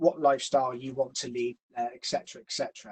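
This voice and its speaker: Speaking at a fairly quick pace, a man talks with a Gloucestershire accent. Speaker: financial planner. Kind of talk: educational webinar presentation. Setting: online webinar. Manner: hesitant, many fillers.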